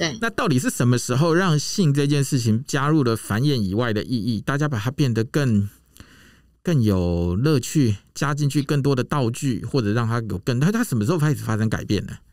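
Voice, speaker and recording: Lively intonation carries a man's speech at a moderate pace. The background is quiet and the sound is dry with no echo. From Taiwan. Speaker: podcast host. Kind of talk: scripted intro; casual interview. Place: booth. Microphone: studio mic.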